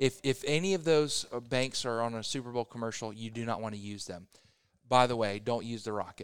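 A man with a plain, everyday voice, medium in pitch, talks at a fairly quick pace with ordinary pitch variation. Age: 30s. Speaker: real estate agent. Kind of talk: casual chat. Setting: coffee shop.

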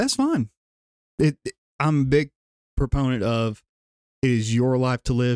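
A man with a Southern US accent speaks at a medium pitch and a moderate pace, with fairly even intonation. Long, frequent pauses break up his speech, and the sound is dry and close with no echo. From Gadsden, Alabama, US South. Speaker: drumline instructor. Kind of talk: casual chat.

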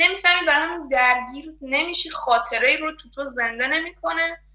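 Against noticeable background noise, a woman with a high pitch speaks in a raised, projected voice at a fairly quick pace with ordinary pitch variation. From Iran. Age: 20s. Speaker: design student. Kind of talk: interview, personal story. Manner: halting.

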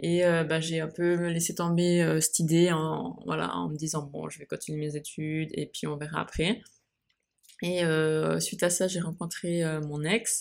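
Her flat, monotone delivery comes at a fairly slow pace, this woman's pitch sitting fairly low. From Switzerland. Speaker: podcaster. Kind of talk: casual monologue. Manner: hesitant, many fillers.

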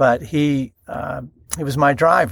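Here a man speaks with a Texan accent. The recording is very clean, with a silent background. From North Texas. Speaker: ministry CEO and radio host. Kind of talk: interview.

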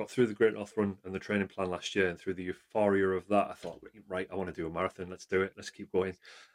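Speaking at a very fast pace in a North East England accent, the voice stays monotone and flat, with a dry, close sound with no echo and a quiet background. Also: man, very deep, low pitch for a man, big swings in loudness. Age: 40s. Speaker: amateur runner. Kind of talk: casual chat.

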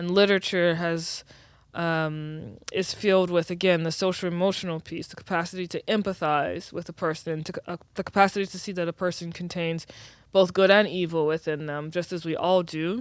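A woman with an American accent, fairly low-pitched and monotone, at a moderate pace with big swings in loudness. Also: very clean recording, silent background. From US South, New Orleans. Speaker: writer and entrepreneur. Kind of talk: casual chat.

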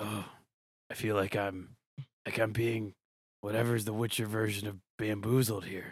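A man's put-on character voice, gravelly and fairly low-pitched, at a moderate pace with monotone, flat intonation and long, frequent pauses. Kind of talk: comic impression of a film hero. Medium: actual play. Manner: terse, grim.

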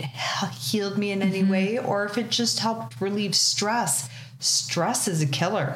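The speaker uses lively intonation with a Canadian accent. Noticeable background noise is present. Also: woman. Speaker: podcast host. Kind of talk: casual chat. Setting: on location at guest's space.

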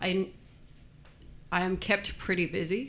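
In an Australian accent, a woman speaks at a fairly slow pace with monotone, flat intonation. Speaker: furniture store owner. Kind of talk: casual interview. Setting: studio.

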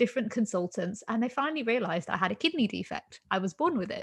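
Somewhat breathy speech at a fairly quick pace, with lively intonation. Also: woman. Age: 30s. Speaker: podcast host. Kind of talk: interview chat.

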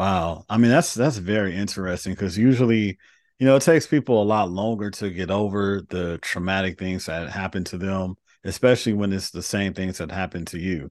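A plain, everyday voice from a man with an American accent, fairly low in pitch, with ordinary pitch variation, a fairly quick pace and a quiet background. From Los Angeles, US. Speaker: podcast host. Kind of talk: interview conversation.

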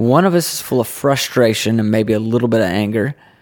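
A man speaks at a moderate pace in an unremarkable speaking voice, his pitch medium. The recording is very clean, with a silent background. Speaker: podcast co-host. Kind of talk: casual chat.

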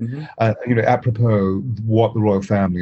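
Someone with an English accent speaks at a fairly quick pace in a dry, close sound with no echo. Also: man. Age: 60s. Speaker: voice and presence coach. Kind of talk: interview. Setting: remote call.

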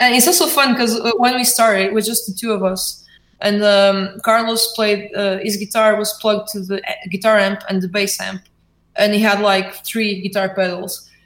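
Speaking with a Portuguese accent, a woman uses a medium pitch, fairly even intonation and a moderate pace. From Portugal, Porto. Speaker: indie band musician. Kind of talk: interview. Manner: halting.

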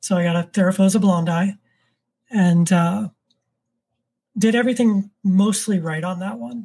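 A woman with an American accent, medium in pitch, with a dark, mellow tone, somewhat breathy, at a moderate pace with long, frequent pauses, on a very clean recording with a silent background. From Florida, Orlando. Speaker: tarantula keeper and YouTuber. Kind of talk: casual interview chat. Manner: monotone.

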